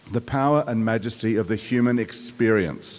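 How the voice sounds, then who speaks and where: The man's voice sits at a medium pitch. He keeps a moderate speed. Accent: Australian. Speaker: performing arts executive, commencement speaker. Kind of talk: commencement address. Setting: outdoor amphitheater with audience.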